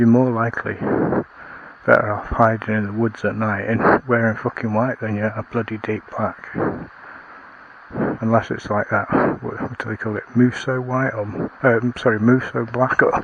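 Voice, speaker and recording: Over noticeable background noise, a soft-spoken man with a Lancashire accent talks in a flat monotone, leaving long, frequent pauses. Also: medium pitch for a man, moderate pace. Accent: northern English (Lancashire). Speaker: outdoor vlogger. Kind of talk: casual vlog monologue. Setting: outdoors, woods at night. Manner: quiet, talking softly; rambling with hesitations.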